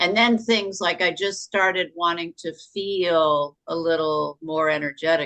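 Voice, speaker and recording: In a normal speaking voice, a woman talks at a fairly low pitch with ordinary pitch variation, the sound dry and close with no echo. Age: 60s. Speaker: challenge participant. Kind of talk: personal testimony.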